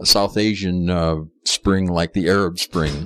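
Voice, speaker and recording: The intonation stays monotone and flat. The sound is dry and close, with no echo. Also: man. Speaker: theater radio host and critic. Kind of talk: interview.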